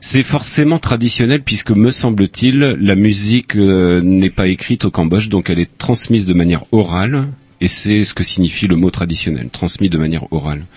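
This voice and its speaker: With an unremarkable speaking voice, a man talks at a moderate pace with hardly any pauses, his fairly low pitch carrying lively intonation at very even loudness. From Upper Brittany, France. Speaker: audiovisual archivist. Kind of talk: interview.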